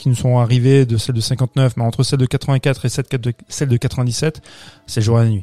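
At a moderate pace, a man speaks with a dark, mellow tone at medium pitch, the sound dry and close with no echo. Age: 30s. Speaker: film podcast panelist. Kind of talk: casual chat.

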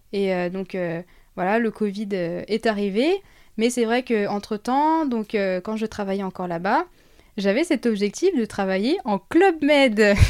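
Speaking at a very slow pace, a woman with a fairly high pitch uses lively intonation on a very clean recording with a silent background. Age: 20s. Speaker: early childhood educator. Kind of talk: casual interview chat. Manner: hesitant, many fillers.

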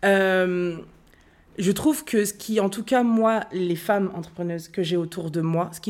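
A woman at a fairly slow pace, medium in pitch with ordinary pitch variation, in an unremarkable speaking voice. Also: very clean recording, silent background. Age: 30s. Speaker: content creator and author. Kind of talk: casual chat.

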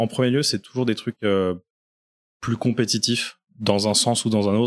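A man speaks at a fairly quick pace with a fairly low pitch and fairly even intonation. The recording is very clean with a silent background and a dry, close sound with no echo. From France, Reims. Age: 20s. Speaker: crisis manager and gamer. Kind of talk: casual interview. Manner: hesitant, with fillers.

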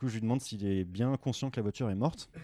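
On a very clean recording over a silent background, a man talks in a dark, mellow tone. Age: 30s. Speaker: photographer and web designer, former engineer. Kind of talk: casual chat.

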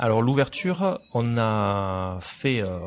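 A man with a Toulouse accent talks at a medium pitch over noticeable background noise. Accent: southern French, Toulouse. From southwest France, Lourdes and Toulouse. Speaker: restaurant owner. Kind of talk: interview.

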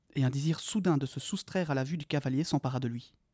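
On a very clean recording with a silent background, a man talks at a very fast pace, his fairly high, somewhat breathy voice dark and mellow in tone, with ordinary pitch variation. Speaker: podcast co-host. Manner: hesitant, halting, thinking aloud.

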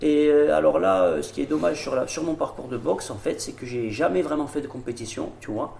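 Against noticeable background noise, a man speaks at a moderate pace with hardly any pauses. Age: 20s. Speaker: doctoral student and mountain athlete. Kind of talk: casual interview. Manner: hesitant, many fillers.

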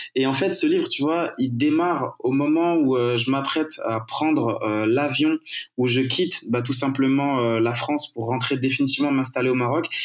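A fairly high-pitched man's voice at a moderate pace, with fairly even intonation, very even loudness and noticeable background noise. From Morocco. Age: 20s. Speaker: digital marketing entrepreneur. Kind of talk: interview. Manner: casual.

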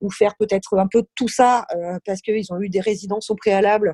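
Over music in the background, a woman speaks at a medium pitch with ordinary pitch variation in a dry, close sound with no echo. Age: 30s. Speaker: concert venue programmer. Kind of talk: casual interview.

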